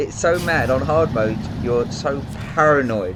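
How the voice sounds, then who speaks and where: Noticeable background noise and audible room echo around a man talking at a moderate pace. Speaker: gaming YouTuber. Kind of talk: gameplay commentary. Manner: soft-spoken.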